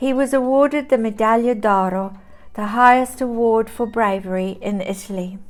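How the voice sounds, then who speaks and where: A woman with a New Zealand accent speaks at a fairly high pitch and a fairly slow pace, her intonation fairly even. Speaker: storyteller. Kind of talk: reading aloud. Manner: formal.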